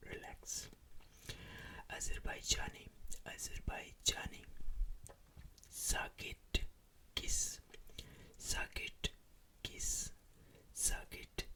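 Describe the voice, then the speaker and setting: Whispering in a calm tone at a very slow pace, with long, frequent pauses. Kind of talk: ASMR trigger words. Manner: whispered, soft-spoken; slow, calm, repetitive.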